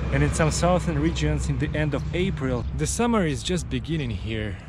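Noticeable background noise surrounds a man's voice, heard in a dry sound with no echo. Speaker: travel vlogger. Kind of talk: casual vlog chat. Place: street. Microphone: phone near.

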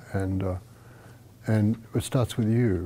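With an American accent, a man speaks in a dark, mellow tone with fairly even intonation. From Australia. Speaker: Zen teacher. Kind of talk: dharma talk. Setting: meditation hall with audience. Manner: casual, halting with fillers. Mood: calm, reflective, warm. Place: home room. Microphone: lapel.

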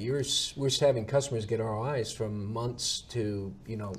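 Over light background noise, a man speaks at a moderate pace in a somewhat breathy voice. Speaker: webinar host. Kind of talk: webinar interview. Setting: webinar. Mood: friendly, relaxed. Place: studio. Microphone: lapel.

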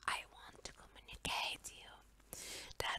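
A woman is whispering. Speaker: ASMR storyteller. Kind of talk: channel announcement to camera. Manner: repeats the announcement in English, playful sign-off.

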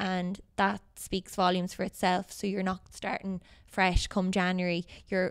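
A woman with a western Irish accent, monotone and flat, at a fairly slow pace against a quiet background. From Ireland, Galway. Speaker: Gaelic football player and teacher. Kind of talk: casual interview. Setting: hotel. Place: hall. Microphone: handheld.

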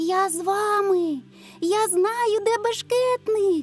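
Clear background noise behind a very slow, put-on character voice. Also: woman, extremely high pitch for a woman. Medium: read story. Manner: eager, excited.

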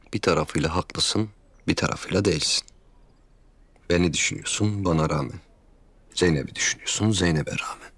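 Using a put-on character voice, a man speaks low, at a fairly quick pace, with a fairly bright tone, a slightly husky edge, and long, frequent pauses. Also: ordinary pitch variation.

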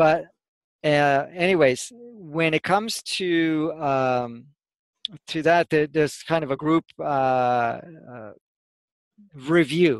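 A man at a very slow pace with long, frequent pauses and ordinary pitch variation, over a quiet background, in a dry sound with no echo. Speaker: spiritual teacher. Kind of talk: interview answer. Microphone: headset.

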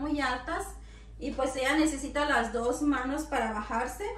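Audible room echo with light background noise. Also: woman. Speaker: home vlogger. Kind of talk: casual vlog chat. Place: kitchen.

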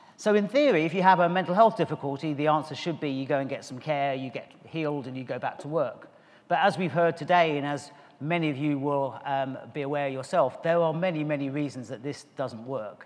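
A man at a fairly quick pace, with ordinary pitch variation. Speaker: conference speaker. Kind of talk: conference talk. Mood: warm, smiling, relaxed. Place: stage. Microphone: podium.

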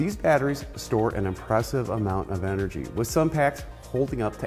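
A man speaks at a moderate pace, backed by faint music. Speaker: automotive trainer. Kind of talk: lecture. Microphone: lapel.

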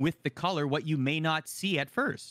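The tone is bright, sharp and animated. The background is quiet and the sound is dry with no echo. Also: man. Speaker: esports show host. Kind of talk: casual panel discussion. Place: home room.

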